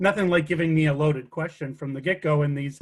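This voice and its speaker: A man speaks with a Chicago accent. His voice is somewhat breathy. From Chicago area, US Midwest. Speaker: mortgage lender. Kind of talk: webinar interview. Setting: video call webinar.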